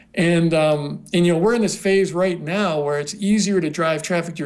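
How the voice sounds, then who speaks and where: Speaking in an American accent at a moderate pace, a man uses a high pitch and fairly even intonation. Room echo is audible. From US West, southwest Colorado. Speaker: online marketing entrepreneur. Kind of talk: interview. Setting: video call.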